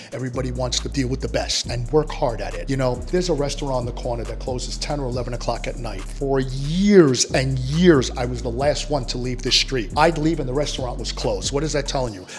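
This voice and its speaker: With music in the background, a man with a New York accent speaks very fast with hardly any pauses. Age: 60s. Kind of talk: interview.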